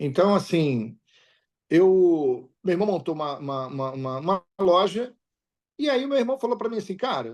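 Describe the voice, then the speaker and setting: Against a quiet background, a man talks at a moderate pace in a high pitch. His pitch swings very widely. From Rio de Janeiro, Brazil (Baixada Fluminense). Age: 60s. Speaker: businessman. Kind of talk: interview.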